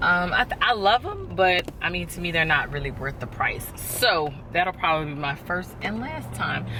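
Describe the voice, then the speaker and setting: Audible room echo, noticeable background noise, and ordinary pitch variation. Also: woman. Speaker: lifestyle vlogger. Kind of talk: casual vlog talk to camera. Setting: in a car. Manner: casual, chatty.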